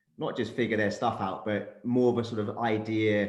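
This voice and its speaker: A man speaks with a London accent. His intonation is flat and monotone. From London, England. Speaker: career coach and startup founder. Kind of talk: panel discussion.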